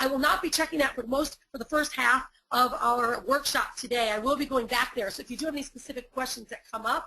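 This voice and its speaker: A woman with a high pitch and a bright, sharp tone uses a raised, projected voice, talking very fast with hardly any pauses and big swings in loudness. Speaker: online marketing coach. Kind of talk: webinar workshop. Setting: live webinar. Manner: animated.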